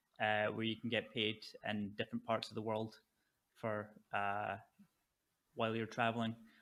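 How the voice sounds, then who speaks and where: On a very clean recording with a silent background, a man speaks with a medium pitch, a bright, sharp tone and a monotone, flat intonation. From Scotland, Fife. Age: 20s. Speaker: stand-up comedian and poker player. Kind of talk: casual podcast interview.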